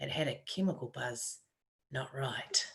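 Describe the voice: A woman's croaky voice with a fairly bright tone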